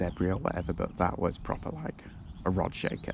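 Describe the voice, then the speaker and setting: With a Yorkshire accent and vocal fry, a man talks at a fairly quick pace in a very deep, low pitch. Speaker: angler vlogger. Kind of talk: casual vlog narration. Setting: outdoors by a river.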